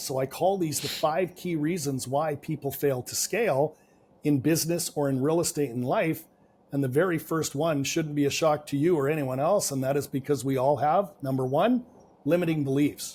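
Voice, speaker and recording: Somewhat breathy and at a fairly quick pace, a man speaks with fairly high pitch and ordinary pitch variation. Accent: Canadian. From Canada. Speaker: business and real estate coach. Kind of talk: podcast interview.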